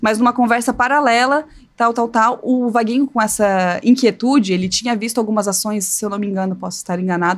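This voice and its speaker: Speaking at a fairly quick pace, a woman uses a fairly high pitch that varies in an ordinary way. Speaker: communications agency professional. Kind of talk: podcast interview. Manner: animated.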